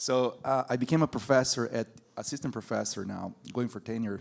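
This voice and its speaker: Fairly quick speech in a Brazilian Portuguese accent, on a very clean recording with a silent background. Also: man. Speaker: university professor of animal science. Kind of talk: panel discussion.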